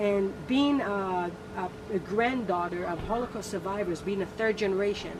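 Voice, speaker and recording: The pace is moderate and the pitch varies in an ordinary way. Noticeable background noise and audible room echo are present. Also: woman, medium pitch for a woman. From Israel. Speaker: guest. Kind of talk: casual chat.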